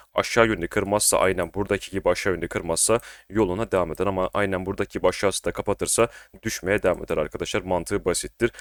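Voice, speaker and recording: Very fast speech from a man with a fairly low pitch and fairly even intonation, recorded very cleanly against a silent background, dry and close with no echo. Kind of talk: market analysis tutorial. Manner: casual, conversational.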